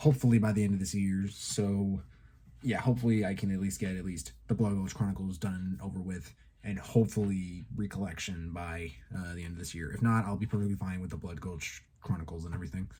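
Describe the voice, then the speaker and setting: The tone is dark, mellow and somewhat breathy. Speech runs at a very fast pace with ordinary pitch variation. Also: man, very deep, low pitch for a man. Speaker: YouTuber, toy and tokusatsu reviewer. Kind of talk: casual channel update monologue. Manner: halting, many fillers.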